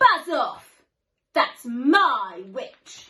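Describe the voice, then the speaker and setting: A woman's put-on character voice, extremely high, shrill, growling and croaky. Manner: rude, yelling.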